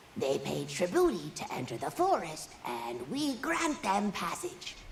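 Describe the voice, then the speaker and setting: A female-sounding voice performs a put-on character voice. It moves at a fairly slow pace over clear background noise. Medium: machinima. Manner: broken, playful phrasing with invented words.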